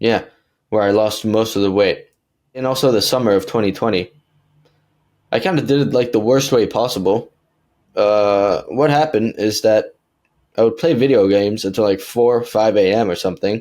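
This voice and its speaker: Relaxed and at a moderate pace, a man with an American accent speaks in a dark, mellow tone, leaving long, frequent pauses. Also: very even loudness. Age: 20s. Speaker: online fitness coach. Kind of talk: podcast interview answer. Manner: casual, relaxed.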